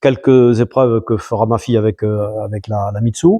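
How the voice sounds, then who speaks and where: Dark, mellow tone from a man at medium pitch, ordinary pitch variation, fairly slow pace, dry and close with no echo, quiet background. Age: 70s. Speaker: amateur rally driver. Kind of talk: interview. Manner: hesitant, many fillers.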